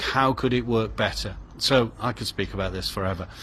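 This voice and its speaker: In an ordinary speaking voice, a man delivers his words at a moderate speed. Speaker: artist. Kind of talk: casual vlog talk.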